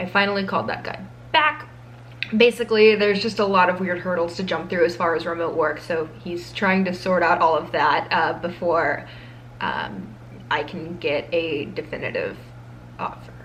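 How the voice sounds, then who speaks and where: A woman's voice with ordinary pitch variation, audible room echo and noticeable background noise. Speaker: law school vlogger. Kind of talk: vlog to camera. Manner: fast; casual, chatty with fillers.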